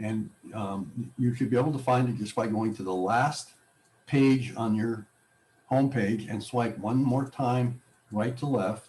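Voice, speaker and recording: An unremarkable speaking voice, this man's is medium in pitch with fairly even intonation and a fairly slow pace. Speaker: technology class instructor. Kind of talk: tutorial.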